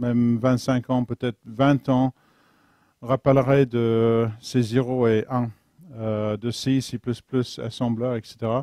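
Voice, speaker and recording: A man's medium-pitched, dark and mellow voice with an English accent, monotone and flat, at a very slow pace, in a dry, close sound with no echo. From London, England. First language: English (speaking French). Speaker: software engineer, conference speaker. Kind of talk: technical talk. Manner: halting, searching for French words.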